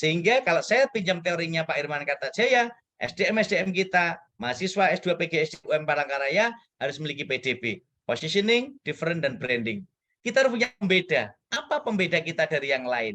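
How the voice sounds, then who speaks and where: A man's high-pitched, animated voice, very fast, with very wide pitch swings and a bright, sharp tone. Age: 40s. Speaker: guest lecturer. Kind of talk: lecture. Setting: guest lecture to students.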